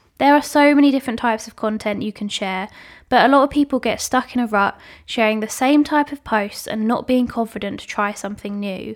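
With a British accent, a woman speaks fairly quickly at a fairly high pitch and ordinary pitch variation. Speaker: podcast host and social media manager. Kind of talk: solo podcast talk.

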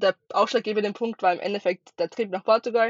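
A woman with an Austrian accent speaks at a fairly quick pace with a fairly high pitch and fairly even intonation. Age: 20s. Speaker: travel content creator. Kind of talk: podcast interview. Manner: hesitant, many fillers.

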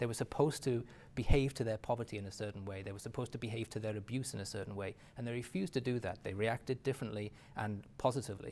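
Words pour out at a very fast pace from a man with an English accent. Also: medium pitch for a man, fairly even intonation. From England. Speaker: author and businessman. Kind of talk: interview.

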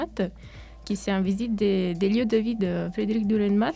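The tone is dark and mellow, somewhat breathy. Delivery comes at a fairly quick pace with ordinary pitch variation. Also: woman. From Italy. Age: 20s. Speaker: university student, association president. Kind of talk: radio interview. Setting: studio. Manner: hesitant, many fillers.

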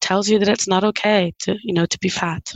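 A woman's ordinary speaking voice at medium pitch, with fairly even intonation and a moderate pace. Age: 40s. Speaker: body liberation coach. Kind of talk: interview conversation.

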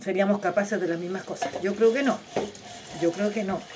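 A woman with a Chilean accent talks at a very fast pace and medium pitch, with ordinary pitch variation, over noticeable background noise. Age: 40s. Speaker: podcast host. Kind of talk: casual monologue.

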